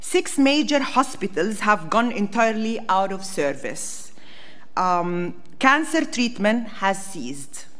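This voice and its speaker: A woman's fairly high voice with very wide pitch swings at a very slow pace, amid audible room echo. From Palestine, Bethlehem area. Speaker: diplomat. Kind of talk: parliamentary hearing testimony. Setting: parliamentary committee hearing room.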